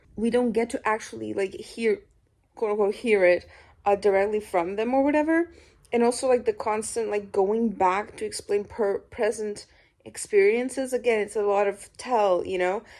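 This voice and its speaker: On a very clean recording with a silent background, the voice moves at a moderate pace with fairly even intonation. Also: woman, fairly high pitch for a woman. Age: 20s. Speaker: book vlogger. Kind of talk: casual reading vlog. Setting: at home.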